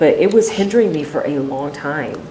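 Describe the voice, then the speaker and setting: Amid noticeable background noise and audible room echo, a woman with a very deep, low pitch speaks at a moderate pace. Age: 30s. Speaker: singer and songwriter. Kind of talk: interview, personal story. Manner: casual, with many fillers.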